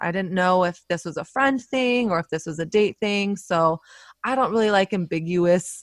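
A woman's medium-pitched voice with an American accent, an ordinary speaking voice at a moderate pace, ordinary pitch variation, dry, close sound with no echo, and a very clean recording with a silent background. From US South. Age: 30s. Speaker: photographer and author. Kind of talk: casual interview chat.

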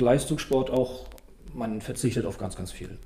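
A man's voice sits at medium pitch, dark, mellow and somewhat breathy. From northern Germany (Stralsund, Western Pomerania). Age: 40s. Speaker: table tennis coach. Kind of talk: casual interview.

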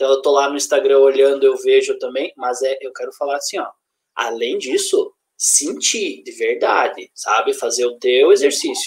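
Moving at a moderate pace, a man talks with big swings in loudness. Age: 20s. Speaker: self-development speaker. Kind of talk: casual live-stream chat.

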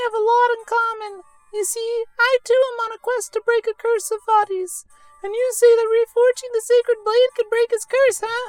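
A strained, squeaky, put-on character voice rises to an extremely high pitch. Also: moderate pace.

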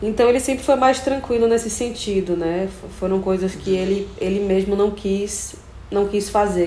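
There is noticeable background noise and audible room echo. A woman speaks with ordinary pitch variation. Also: medium pitch for a woman, moderate pace. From Brazil, Bahia (Feira de Santana). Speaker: singer. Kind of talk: interview.

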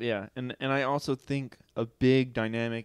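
In an ordinary speaking voice, a man talks at a moderate pace with a dry, close sound and no echo. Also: very clean recording, silent background. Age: 20s. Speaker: podcast co-host. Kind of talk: casual chat. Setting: living room.

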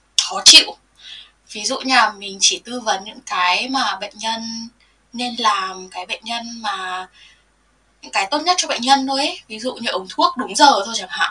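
A woman with a plain, everyday voice, fairly high in pitch, at a moderate pace with lively intonation. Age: 20s. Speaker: nurse. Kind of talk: interview.

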